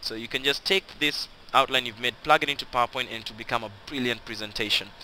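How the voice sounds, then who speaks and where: With a non-native accent, a man at medium pitch speaks at a fairly quick pace. Noticeable background noise is audible. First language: not English (English is third language). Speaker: online business tutor. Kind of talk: tutorial. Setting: screen recording. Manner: casual, conversational; halting, self-correcting.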